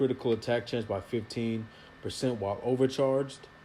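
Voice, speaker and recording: This man's medium-pitched voice has a dark, mellow tone. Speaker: gaming youtuber. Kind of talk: gameplay tutorial. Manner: stumbling over words.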